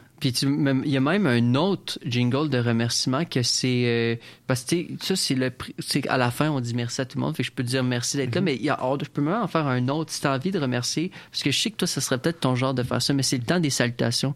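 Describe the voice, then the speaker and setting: This is a plain, everyday voice from a man of medium pitch. He speaks at a fairly quick pace with ordinary pitch variation. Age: 20s. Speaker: community radio host. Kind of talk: casual radio interview.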